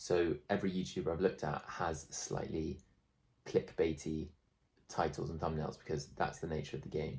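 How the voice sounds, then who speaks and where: A very deep, low male voice, somewhat breathy. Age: 20s. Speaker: YouTuber. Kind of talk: vlog. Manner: casual, halting with fillers.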